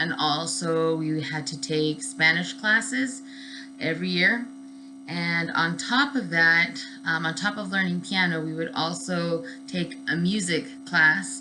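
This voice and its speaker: A woman with an American accent speaks at a fairly slow pace in a fairly low voice, her pitch swinging very widely, with music playing behind her and audible echo in the room. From Southern California. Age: 30s. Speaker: student. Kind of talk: class introduction video. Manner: casual with many fillers.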